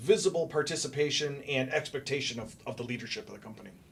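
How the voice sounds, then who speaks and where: A man talks fairly quickly at a fairly high pitch with hardly any pauses. His loudness swings widely over noticeable background noise. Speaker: cybersecurity guest expert. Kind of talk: podcast interview. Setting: studio.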